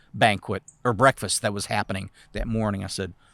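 A man with an American accent speaks at a fairly low pitch and a fairly quick pace, with vocal fry and fairly even intonation. The recording is very clean and dry, close with no echo, over a silent background. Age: 60s. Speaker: city council candidate. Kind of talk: interview. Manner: halting.

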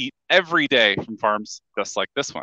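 A man's bright, sharp tone over a quiet background. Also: dry sound with no echo. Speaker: fish farmer. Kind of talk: guided farm tour. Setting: on a fish farm, live video stream. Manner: cheerful, laughs often. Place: farm machine. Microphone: headset.

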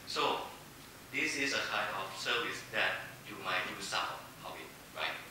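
Long, frequent pauses break up speech at a fairly slow pace, heard through strong room echo and noticeable background noise. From Thailand. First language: Thai. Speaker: corporate foundation executive. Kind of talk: panel presentation. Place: hall.

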